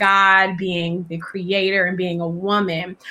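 A woman speaks with an American accent. Noticeable background noise is present. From California. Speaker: podcast host and actress. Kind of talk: casual interview chat. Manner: animated.

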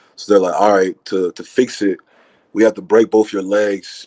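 Speaking with an American accent, a man uses a fairly low voice with a dark, mellow tone and monotone, flat intonation. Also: dry, close sound with no echo. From US South, Georgia (Acworth, near Atlanta). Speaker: rapper. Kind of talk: casual interview.

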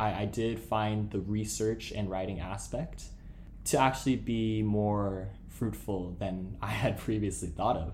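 A man speaks with a West Coast American accent at a fairly slow pace. His intonation is fairly even, and audible room echo surrounds him. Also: fairly low pitch for a man. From Los Angeles, US. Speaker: law student podcast co-host. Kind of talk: casual chat.

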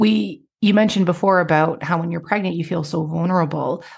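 A woman speaks in a fairly low voice. It sounds somewhat breathy. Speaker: podcast host. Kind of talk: casual interview chat.

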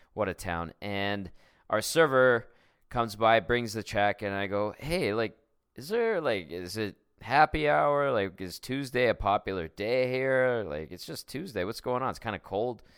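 With a Canadian accent, a man speaks in a plain, everyday voice of medium pitch at a fairly slow pace, with lively intonation and big swings in loudness on a very clean recording against a silent background. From Edmonton, Canada. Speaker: sports radio host. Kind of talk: casual chat.

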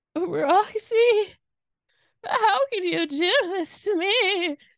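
A woman's put-on character voice, extremely high in pitch and shaky, at a very slow pace. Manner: fake crying, mocking.

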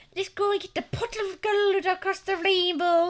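In a put-on character voice with an extremely high pitch, the speaker goes at a moderate pace.

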